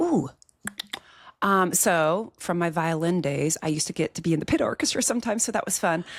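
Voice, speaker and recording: Someone with an American accent and a normal speaking voice talks at a fairly quick pace. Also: woman, fairly low pitch for a woman, ordinary pitch variation. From US Midwest (Iowa). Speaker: agribusiness insurance leader, podcast guest. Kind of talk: casual chat.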